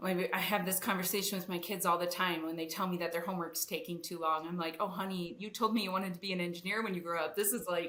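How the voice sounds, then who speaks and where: Flat and monotone, the speech races at a very fast pace with hardly any pauses over noticeable background noise. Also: woman. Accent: Wisconsin. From Wisconsin. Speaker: engineering executive. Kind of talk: podcast interview. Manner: casual, with many fillers.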